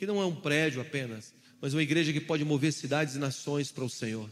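Here a man speaks at a fairly quick pace. There is audible room echo. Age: 20s. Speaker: pastor. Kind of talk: sermon. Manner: animated.

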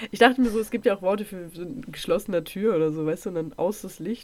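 This woman speaks at a very fast pace. Her voice is medium in pitch. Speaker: true crime podcast co-host. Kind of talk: casual chat.

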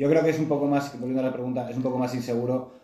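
There is audible room echo around a man speaking at medium pitch in a monotone, flat way. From Spain. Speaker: podcast co-host. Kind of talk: casual chat.

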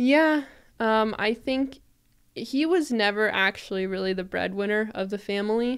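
A woman with a plain, everyday voice, fairly high in pitch with ordinary pitch variation, at a moderate pace, on a very clean recording with a silent background. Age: 20s. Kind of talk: casual interview.

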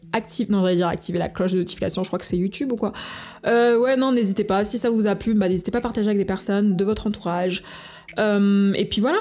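At a very fast pace, a woman with a medium pitch and a dark, mellow tone speaks with fairly even intonation and very even loudness. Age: 20s. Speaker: solo podcaster. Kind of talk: casual monologue. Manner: frequent English code-switching; hesitant, many fillers.

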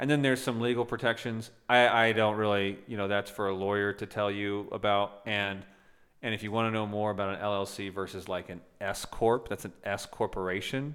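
Fairly low in pitch, a man talks with fairly even intonation in an ordinary speaking voice. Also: moderate pace. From Illinois. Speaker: ATM business owner and podcast co-host. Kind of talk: casual chat. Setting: home.

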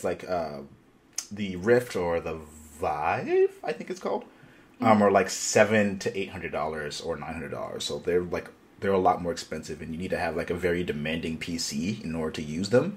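A man speaks with a very deep, low voice. His pitch varies in an ordinary way, and his pace is fairly slow. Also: big swings in loudness. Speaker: podcast host. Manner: casual, enthusiastic.

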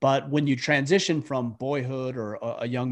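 A man with an American accent speaks at a fairly slow pace in a medium pitch with ordinary pitch variation, a plain, everyday voice. The background is quiet. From US, Utah. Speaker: military veteran and podcaster. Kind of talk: interview conversation.

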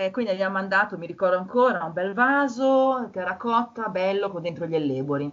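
A woman's medium-pitched, normal speaking voice, fairly quick with hardly any pauses and lively intonation. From Milan, northern Italy. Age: 30s. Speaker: garden designer. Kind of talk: casual chat.

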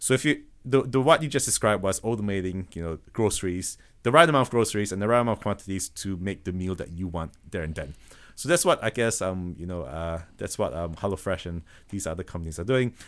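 Speaking with a slight Malaysian accent, the voice moves at a very fast pace with lively intonation on a very clean recording with a silent background. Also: man, fairly low pitch for a man. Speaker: automation business founder. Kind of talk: podcast interview. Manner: halting, many repetitions and fillers.

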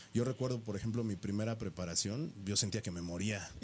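Here is a man with a fairly low pitch and ordinary pitch variation. He has a normal speaking voice. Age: 40s. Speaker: professional bodybuilder. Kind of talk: casual interview. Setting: radio studio.

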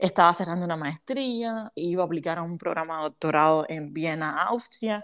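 In a very clean recording with a silent background, a woman with a fairly low pitch and ordinary pitch variation talks at a moderate pace with hardly any pauses. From Cuba, Havana. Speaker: business mentor for women entrepreneurs. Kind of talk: interview.

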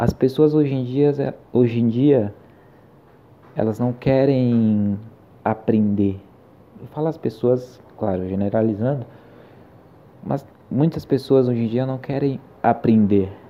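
A man's medium-pitched voice at a very slow pace, with long, frequent pauses and ordinary pitch variation. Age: 20s. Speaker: podcast host, film student. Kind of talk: casual solo podcast monologue.

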